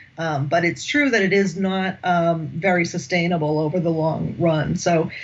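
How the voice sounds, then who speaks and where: A woman's somewhat breathy voice with an American accent, at a moderate pace, with audible room echo. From United States. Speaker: executive coach and management academic. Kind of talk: podcast interview.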